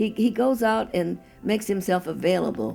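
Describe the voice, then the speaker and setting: Here a woman speaks. There is music behind her voice. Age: 80s+. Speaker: campaign precinct captain. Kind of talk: interview answer.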